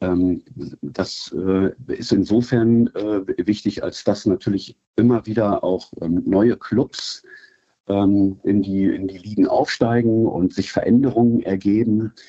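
Speaking at a very slow pace, a man with a fairly low pitch keeps his intonation fairly even. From Germany, Wolfsburg (Lower Saxony). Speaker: football club fan liaison. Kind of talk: interview. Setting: remote call. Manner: halting, many fillers.

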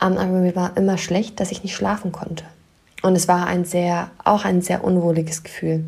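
At a moderate pace, a woman speaks at a fairly low pitch with monotone, flat intonation. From northern Germany, near Wolfsburg. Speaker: life coach and podcast host. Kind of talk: solo podcast monologue.

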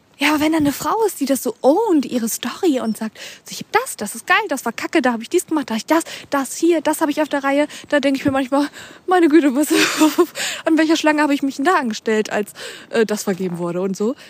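A woman talks very fast at a high pitch, swinging her pitch very widely. The sound is dry and close with no echo, though background noise is noticeable. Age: 30s. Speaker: podcast host. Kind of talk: casual monologue. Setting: outdoors, walking. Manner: rambling with fillers.

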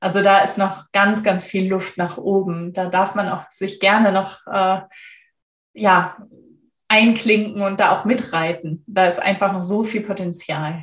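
Somewhat breathy, a woman speaks at a fairly slow pace with a medium pitch and monotone, flat intonation. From Germany. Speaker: storyteller and former translator. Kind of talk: interview.

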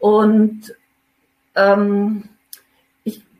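A woman speaks at a fairly high pitch. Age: 50s. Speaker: mother in a custody situation. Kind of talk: personal testimony. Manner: hesitant with many fillers.

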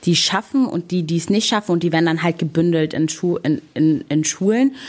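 A woman with a fairly low pitch speaks with an Arabic accent. Her pace is moderate. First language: Arabic (speaking German). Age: 20s. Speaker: local politician. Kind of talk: interview. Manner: frequent filler sounds.

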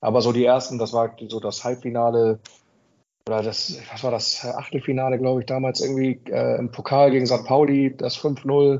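A man's medium-pitched voice stays monotone and flat, moving along at a moderate pace. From northern Germany, Buxtehude near Hamburg. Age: 40s. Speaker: football fan club leader. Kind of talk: casual chat. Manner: hesitant with many fillers.

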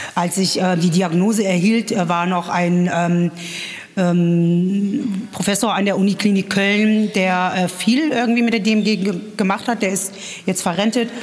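A woman at a medium pitch, fairly even in intonation and fairly slow in pace, against noticeable background noise. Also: very even loudness. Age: 30s. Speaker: patient with myasthenia, support group member. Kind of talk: interview. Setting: support group meeting.

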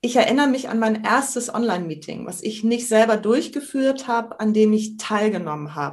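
A woman with a somewhat breathy, fairly high voice speaks at a moderate pace. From northern Germany, island of Sylt. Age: 50s. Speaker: trainer, coach and improv actress. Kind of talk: podcast interview. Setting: video call.

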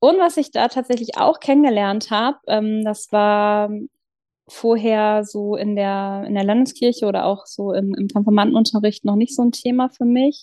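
A woman speaks at a fairly slow pace. Her fairly high voice shows ordinary pitch variation. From northern Germany, Lower Saxony south of Hamburg. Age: 40s. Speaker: churchgoer sharing faith story. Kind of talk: personal testimony in casual interview. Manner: hesitant, many fillers.

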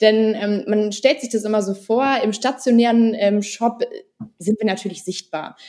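A woman with a fairly high pitch speaks at a fairly slow pace. She has a normal speaking voice. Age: 20s. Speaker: former working student, e-commerce researcher. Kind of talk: podcast interview.

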